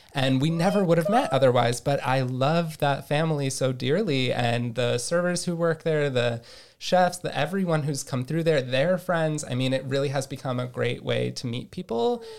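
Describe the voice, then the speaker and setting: On a very clean recording with a silent background, a man with a plain, everyday voice and a fairly high pitch speaks at a moderate pace with ordinary pitch variation and hardly any pauses. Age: 30s. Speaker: podcast host, clothing designer. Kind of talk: casual chat. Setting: home recording in living room.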